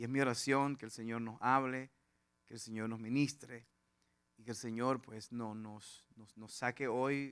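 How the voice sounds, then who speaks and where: A man of medium pitch speaks at a fairly slow pace in a monotone, flat intonation. His loudness shows big swings. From Venezuela, Lara/Portuguesa plains. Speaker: pastor. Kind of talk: sermon. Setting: church with congregation.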